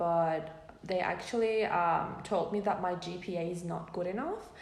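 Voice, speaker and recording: In a Persian accent, a woman with a fairly low pitch speaks at a fairly slow pace, with audible room echo. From Iran. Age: 20s. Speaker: student. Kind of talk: casual interview. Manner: hesitant, many fillers.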